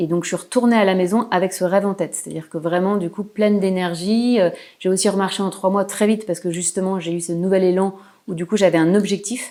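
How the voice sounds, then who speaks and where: A woman with a Parisian accent talks very fast at medium pitch, her dark, mellow tone held in fairly even intonation. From Paris region, France. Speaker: painter. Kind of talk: interview. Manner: hesitant.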